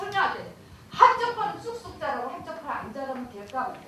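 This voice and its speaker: A woman's voice with very wide pitch swings, audible room echo and noticeable background noise. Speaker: safety education instructor. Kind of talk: lecture. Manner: loud.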